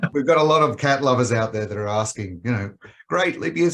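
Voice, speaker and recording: A man talks at a fairly quick pace with an Australian accent. His intonation is lively. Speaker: pet health company executive. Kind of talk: podcast interview. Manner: hesitant with frequent fillers.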